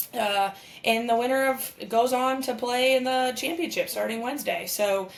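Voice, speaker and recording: Her tone is animated as a woman speaks at a high pitch with ordinary pitch variation. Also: moderate pace. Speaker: podcast co-host and former softball player. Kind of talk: live sports commentary chat. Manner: casual, animated.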